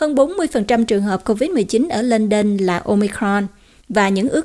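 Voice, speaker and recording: Her voice is fairly high for a woman and swings very widely in pitch. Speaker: news anchor. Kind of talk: news reading.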